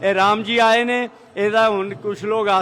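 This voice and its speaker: A man talks in a high register while noticeable background noise runs underneath. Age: 70s. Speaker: temple volunteer. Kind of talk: interview.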